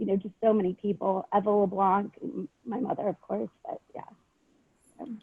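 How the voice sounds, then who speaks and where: A woman with a Southern California accent speaks with big swings in loudness. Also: moderate pace. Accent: sounds like a Valley girl. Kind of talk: panel discussion.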